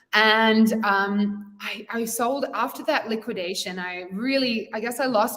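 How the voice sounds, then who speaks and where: A woman speaks fairly slowly, her pitch varying in an ordinary way, while noticeable background noise sits behind her. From England and Wales, then Australia. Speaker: entrepreneur, community founder. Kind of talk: interview.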